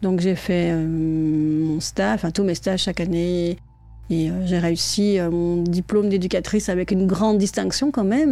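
At a fairly slow pace and with ordinary pitch variation, the speaker is heard over music in the background. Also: woman. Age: 40s. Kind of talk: interview. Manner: hesitant.

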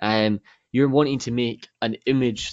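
With a Scottish accent, a man at medium pitch speaks at a moderate pace with fairly even intonation, in a dry, close sound with no echo. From Scotland. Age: 20s. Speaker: game artist. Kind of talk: interview.

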